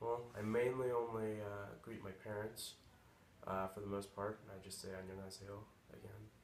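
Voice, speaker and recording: A man's fairly low, monotone, flat delivery at a moderate pace, with big swings in loudness and noticeable background noise. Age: 20s. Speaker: college student. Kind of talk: interview answer. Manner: casual, hesitant.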